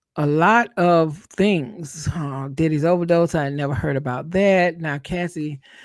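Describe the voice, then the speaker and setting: A fairly slow voice in a Southern accent, hardly any pauses, on a very clean recording with a silent background. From US South. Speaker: YouTube content creator, live streamer. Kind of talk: live stream commentary reading news updates. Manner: casual, conversational.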